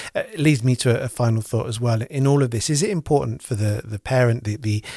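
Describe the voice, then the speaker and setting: In a normal speaking voice of medium pitch, a man talks with ordinary pitch variation, the sound dry and close with no echo and the recording very clean against a silent background. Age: 40s. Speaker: podcast host. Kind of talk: podcast interview.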